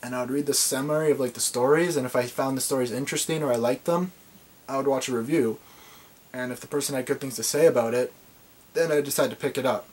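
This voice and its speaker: The speech runs at a very fast pace with fairly even intonation. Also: man, fairly high pitch for a man. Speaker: anime collector vlogger. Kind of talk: unboxing video. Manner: fast when nervous; halting, filler words. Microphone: video camera mic, maybe poor sound.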